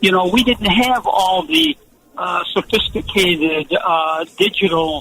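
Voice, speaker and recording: Over noticeable background noise, a man talks with an American accent and a high pitch. His intonation is lively. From Buffalo, New York. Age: 70s. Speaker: retired football coach. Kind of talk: radio interview. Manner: halting, many repetitions.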